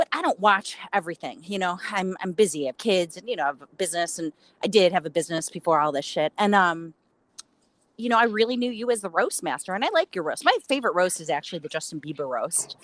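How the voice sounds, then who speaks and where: A woman in a Chicago accent at a very fast pace, in a dry, close sound with no echo. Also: medium pitch for a woman. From Chicago, US. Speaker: interviewer, influencer. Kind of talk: casual chat. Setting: on a roof, audio call.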